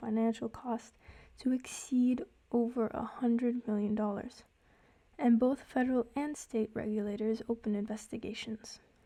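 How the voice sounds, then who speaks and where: A woman's high pitch in a monotone, flat intonation at a moderate pace. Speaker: student. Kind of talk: class presentation narration.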